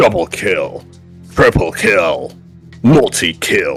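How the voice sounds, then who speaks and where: A put-on character voice moves at a very slow pace. Faint music plays in the background. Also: man. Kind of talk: announcer. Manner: flat, monotone.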